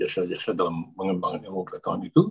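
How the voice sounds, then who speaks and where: A man talking at a very fast pace. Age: 60s. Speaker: academic and YouTuber talking about Japan. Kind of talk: casual monologue. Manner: halting, many fillers.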